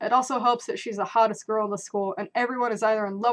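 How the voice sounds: This is a natural reading voice. Its intonation holds fairly even.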